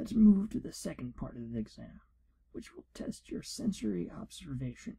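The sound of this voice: A man does a put-on character voice at a moderate pace, fairly high in pitch with big pitch swings. His tone is dark and mellow, with vocal fry and a husky, rough edge.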